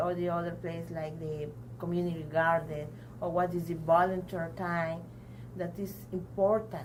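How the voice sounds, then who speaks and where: Speaking in a Mexican accent at a moderate pace, a woman with a fairly low pitch is heard with audible room echo and noticeable background noise. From Mexico (Tampico). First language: Spanish. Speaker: adult learner, community program member. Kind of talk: interview testimony. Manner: halting, many hesitations.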